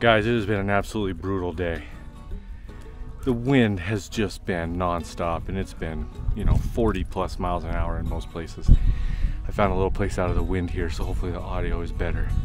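Clear background music accompanies a fairly quick voice with ordinary pitch variation and a dry sound with no echo. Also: man. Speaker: hunting vlogger. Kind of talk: casual vlog chat. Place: open country. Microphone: phone near.

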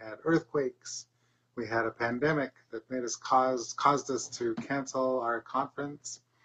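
A man's bright, sharp voice in a flat monotone at a moderate pace, with big swings in loudness and light background noise. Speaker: conference organizer introducing speaker; conference speaker. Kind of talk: event introduction. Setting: virtual video call. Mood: warm, reflective. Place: home room. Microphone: camera far.

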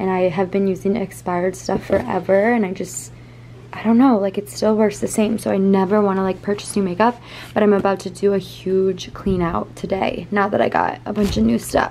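With light background noise behind her, a woman talks at a fairly quick pace. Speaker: lifestyle vlogger. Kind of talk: casual vlog chat. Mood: excited, chatty. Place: home room. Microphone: phone near.

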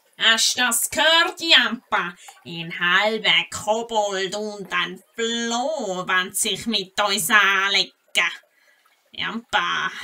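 A woman's put-on character voice at a medium pitch, delivered at a very slow pace. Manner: gruff, bossy, quarrelsome.

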